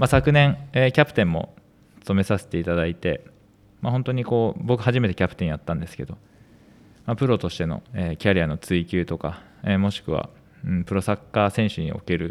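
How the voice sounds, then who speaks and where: An ordinary speaking voice, a man at a fairly low pitch with lively intonation and a fairly quick pace, on a very clean recording with a silent background. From western Tokyo, Japan. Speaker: amateur footballer and podcast co-host. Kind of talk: casual podcast chat.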